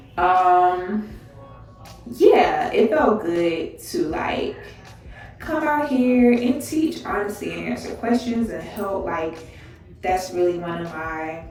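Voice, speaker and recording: Over music in the background and audible room echo, a woman at medium pitch speaks at a very slow pace, with long, frequent pauses, very wide pitch swings and big swings in loudness. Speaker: dental resident vlogger. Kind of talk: vlog monologue.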